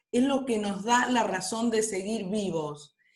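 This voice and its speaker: Here a woman talks in a fairly high pitch. Her pace is very slow. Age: 60s. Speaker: workshop participant, retiree. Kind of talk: online workshop discussion.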